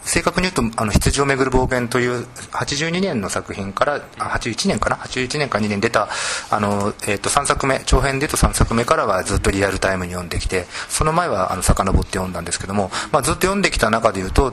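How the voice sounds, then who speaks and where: With lively intonation, a man speaks fairly quickly as noticeable background noise carries on. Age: 40s. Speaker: literary critic and editor. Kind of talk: panel discussion. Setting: bookstore gallery.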